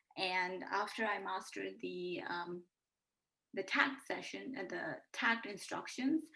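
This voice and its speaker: Very slow in pace, a woman talks at a medium pitch with vocal fry. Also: lively intonation. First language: not English. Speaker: graduate student. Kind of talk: class presentation. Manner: halting, many fillers.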